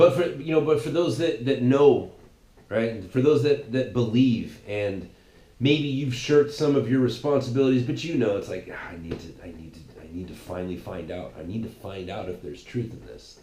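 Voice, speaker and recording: With vocal fry and a dark, mellow tone, a man speaks at a moderate pace and medium pitch, his voice making very wide pitch swings and big swings in loudness amid audible room echo. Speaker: podcast host. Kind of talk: casual monologue. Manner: animated; halting, many repetitions.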